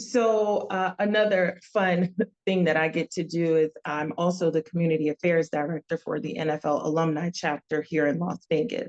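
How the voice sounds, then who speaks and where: A woman speaks at a moderate pace with hardly any pauses, her pitch fairly low and its variation ordinary. The sound is dry and close, with no echo. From US Northeast, New Jersey. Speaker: business consultant and community organizer. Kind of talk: podcast interview.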